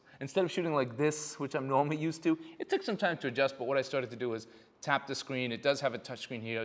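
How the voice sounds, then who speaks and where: A man speaks with ordinary pitch variation. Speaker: photographer. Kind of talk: tutorial. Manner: fast.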